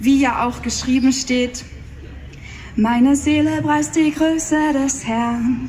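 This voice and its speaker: A woman at a high pitch and a very slow pace, over light background noise. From Austria, Salzburg region. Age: 20s. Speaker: poetry slammer. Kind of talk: poetry slam performance. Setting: live stage, audience. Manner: mix of standard German and dialect. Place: stage.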